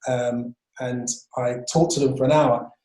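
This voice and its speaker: A man with a London accent, music in the background. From London, Wembley (northwest London). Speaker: urban birder, broadcaster and speaker. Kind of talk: online presentation talk. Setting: video call.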